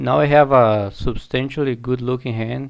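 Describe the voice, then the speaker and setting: A man with a non-native accent, medium pitch, fairly even intonation and a fairly slow pace. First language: not English. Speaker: online poker streamer. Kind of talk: live gameplay commentary. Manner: halting, self-correcting.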